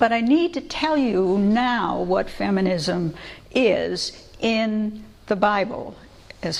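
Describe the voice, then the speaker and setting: Lively intonation marks a woman's medium-pitched voice. Room echo can be heard. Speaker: biblical scholar, lecturer. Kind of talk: public lecture. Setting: church lecture with audience.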